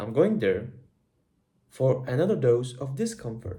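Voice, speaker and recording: The man's voice has a dark, mellow tone at a medium pitch. It sounds somewhat breathy. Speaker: vlogger. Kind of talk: personal video diary. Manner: animated.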